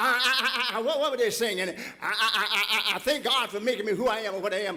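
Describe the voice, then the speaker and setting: A man's raised, projected voice at a moderate pace, full of very wide pitch swings. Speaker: preacher, church pastor. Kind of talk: sermon delivered to a congregation. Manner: impassioned, emphatic, preaching cadence.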